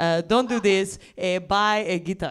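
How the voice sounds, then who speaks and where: A woman at a very slow pace, with ordinary pitch variation. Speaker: comedian. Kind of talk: stand-up comedy bit. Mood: deadpan, playful. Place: stage. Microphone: handheld.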